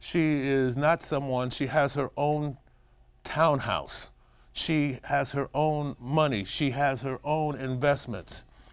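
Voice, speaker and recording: A man with a fairly high voice and a New York accent speaks very slowly on a very clean recording with a silent background. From Brooklyn, New York. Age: 60s. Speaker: Alzheimer's caregiver and businessman. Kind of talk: interview. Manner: animated.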